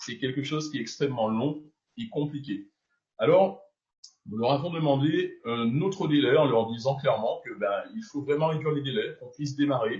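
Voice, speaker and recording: A man's somewhat breathy, fairly high voice moves with lively intonation and big swings in loudness. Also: moderate pace. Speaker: network marketing leader. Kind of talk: business announcement. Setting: video call.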